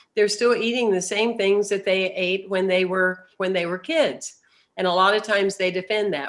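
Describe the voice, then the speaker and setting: At a moderate pace, a woman with a normal speaking voice talks at a medium pitch with ordinary pitch variation. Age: 60s. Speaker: spiritual speaker. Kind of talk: recorded message.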